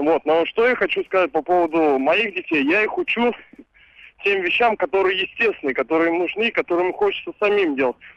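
Pitched high, a man talks at a fairly quick pace with ordinary pitch variation. His loudness stays very even. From Ivanovo, central Russia. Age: 20s. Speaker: caller, young father and musician. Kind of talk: casual phone-in chat.

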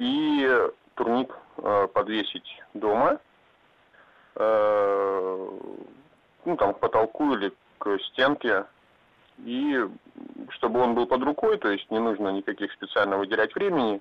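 Leaving long, frequent pauses, a man talks at a fairly slow pace. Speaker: caller. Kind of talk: call-in radio chat. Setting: phone call.

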